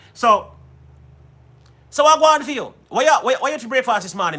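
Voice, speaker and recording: His voice is raised and projected, with a bright, sharp tone. The man has an American accent. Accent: Jamaican, shifts toward an American twang. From Jamaica. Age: 40s. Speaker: musician and live-stream host. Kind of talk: casual live-stream chat. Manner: switches into Jamaican patois.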